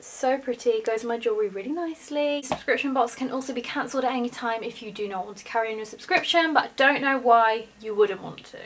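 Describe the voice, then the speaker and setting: Speaking at a very fast pace, a woman with a British accent has a high voice with ordinary pitch variation. Light background noise can be heard. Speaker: vlogger. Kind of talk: casual vlog. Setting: home. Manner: animated; excitable. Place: home room. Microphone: phone near.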